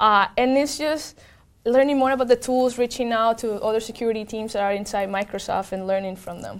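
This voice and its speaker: A woman with a Spanish accent and fairly high pitch talks at a fairly quick pace with ordinary pitch variation and big swings in loudness, on a very clean recording with a silent background. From Venezuela. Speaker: tech program manager. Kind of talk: interview.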